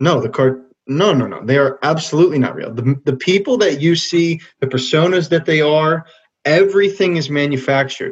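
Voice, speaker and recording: At a moderate pace, a man with a fairly high pitch and ordinary pitch variation talks in an ordinary speaking voice. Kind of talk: casual chat.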